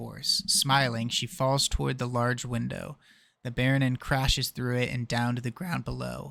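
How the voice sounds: Text delivered in a natural reading voice.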